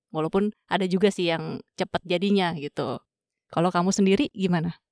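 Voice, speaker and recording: A woman speaks at a fairly quick pace in a plain, everyday voice. Her pitch is medium, with ordinary pitch variation. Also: dry, close sound with no echo. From Jakarta and Java, Indonesia. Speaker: podcast host. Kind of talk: podcast interview. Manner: casual.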